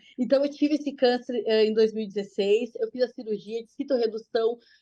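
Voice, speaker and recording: A woman speaks in a southern Brazilian accent at a fairly quick pace. Her voice is high, with a dark, mellow tone. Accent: gaúcho Brazilian Portuguese. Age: 40s. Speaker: cancer patient sharing her story. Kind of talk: testimony. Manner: fast; animated.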